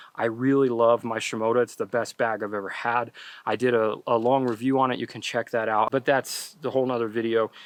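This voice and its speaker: Against a quiet background, a man at a medium pitch talks in a monotone, flat delivery, with a dry, close sound and no echo. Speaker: landscape photographer and youtuber. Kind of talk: vlog tutorial outdoors. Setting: outdoors at sunset. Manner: rushed, fast.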